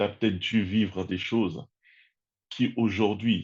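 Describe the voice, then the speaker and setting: A man with a plain, everyday voice, fairly low pitch and moderate pace, against a quiet background. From Congo-Kinshasa. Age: 30s. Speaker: personal development content creator. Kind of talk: interview conversation.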